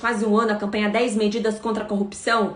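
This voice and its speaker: Somewhat breathy, a woman speaks at a fairly quick pace in a fairly high voice. Audible room echo surrounds her. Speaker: prosecutor and anti-corruption campaigner. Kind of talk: live stream Q&A. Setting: live stream. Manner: hesitant fillers.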